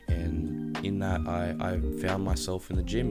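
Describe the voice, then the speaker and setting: Music plays behind a man who talks at a fairly slow pace. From Australia. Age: 20s. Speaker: fitness content creator and coach. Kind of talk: casual talk to camera, podcast monologue. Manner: conversational, enthusiastic, fillers.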